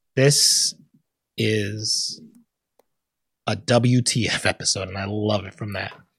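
Speaking very slowly with long, frequent pauses, a man has a fairly low, somewhat breathy voice. His loudness swings widely. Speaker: podcast host. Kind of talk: casual chat. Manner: animated.

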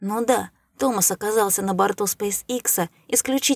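It is plain reading aloud. The pitch varies in an ordinary way.

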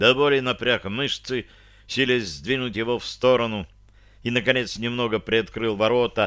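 Fairly even intonation while reading aloud in a natural voice

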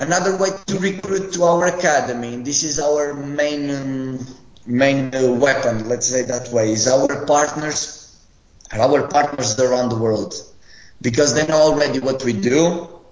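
Someone with a Portuguese accent talks at a fairly slow pace with ordinary pitch variation, amid audible room echo and noticeable background noise. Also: man, fairly high pitch for a man. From Portugal, Madeira (Funchal). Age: 20s. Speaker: football academy head coach. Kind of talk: interview.

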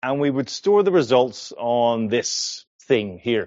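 A man with an Irish accent, medium pitch and ordinary pitch variation. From Ireland. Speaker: developer advocate. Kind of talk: technical conference talk.

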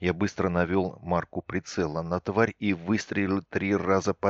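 Plain reading aloud is delivered with fairly even intonation.

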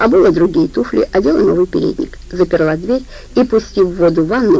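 Reading in an unforced voice

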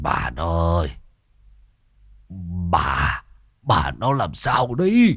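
A man whispers in a put-on character voice at a very slow pace. The recording is very clean, with a silent background.

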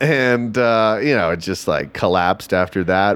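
A man speaks with an American accent in a normal speaking voice. His pitch is medium, with ordinary pitch variation. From Texas. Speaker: stand-up comedian. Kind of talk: casual interview chat.

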